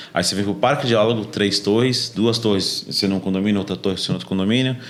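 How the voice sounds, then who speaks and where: A man talks at a very fast pace. His fairly low voice has ordinary pitch variation. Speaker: real estate sales manager. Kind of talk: podcast conversation. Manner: animated.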